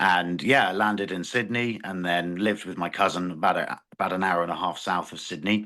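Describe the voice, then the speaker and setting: In a British accent, a man with a very deep, low voice and a bright, sharp tone speaks at a moderate pace over a quiet background. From England. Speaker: farmer. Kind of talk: interview. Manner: halting.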